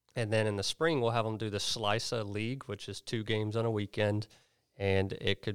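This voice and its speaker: A man speaks at a moderate pace with an American accent, his pitch fairly low and his intonation fairly even. He has an ordinary speaking voice, captured in a very clean recording with a silent background. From Oklahoma. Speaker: youth soccer club coach. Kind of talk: interview.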